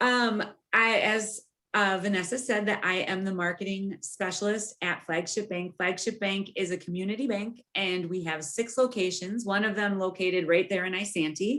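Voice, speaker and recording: This woman's voice has a bright, sharp tone, medium pitch and fairly even intonation. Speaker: bank marketing specialist giving a presentation. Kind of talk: webinar presentation. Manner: fast.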